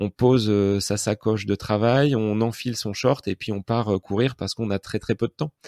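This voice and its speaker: A fairly low, dark, mellow male voice, fairly slow and fairly even, dry and close with no echo in a very clean recording with a silent background. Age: 40s. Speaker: podcaster and history teacher. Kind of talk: casual chat. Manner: halting, many fillers.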